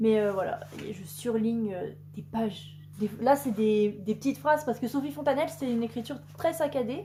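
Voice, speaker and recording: A woman's fairly high voice at a fairly quick pace, full of very wide pitch swings, over noticeable background noise. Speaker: booktuber. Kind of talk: casual chat. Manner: fast.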